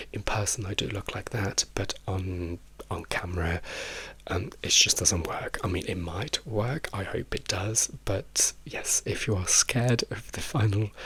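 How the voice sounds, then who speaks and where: Soft-spoken, with a British accent, a man talks at a fairly slow pace in a fairly low voice with ordinary pitch variation. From England. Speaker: drag queen and YouTuber. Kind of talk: casual chat.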